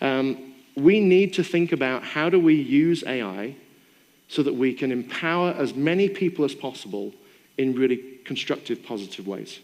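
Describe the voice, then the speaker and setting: Speaking at a moderate pace, a man uses a fairly high pitch and lively intonation. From Britain. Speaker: AI expert and keynote speaker. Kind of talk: keynote Q&A answer. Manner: conversational with fillers.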